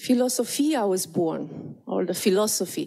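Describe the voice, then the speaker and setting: Very slowly, a woman speaks in a Romanian accent. Her pitch swings very widely. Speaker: conference presenter, existential therapist. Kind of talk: conference presentation. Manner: halting, many fillers and repetitions.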